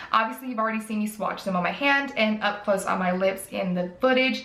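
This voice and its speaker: Talking at a fairly quick pace with a Southern US accent, a woman's fairly high voice carries audible room echo. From US South. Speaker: beauty youtuber. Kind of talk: product review. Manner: casual, chatty. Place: home room.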